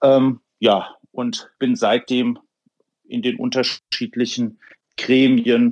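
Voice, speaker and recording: The sound is dry and close, with no echo. Speech moves at a very slow pace. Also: man. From Hofheim am Taunus, Hesse, Germany. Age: 30s. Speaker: local politician and bank clerk. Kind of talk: interview. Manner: hesitant, many filler sounds.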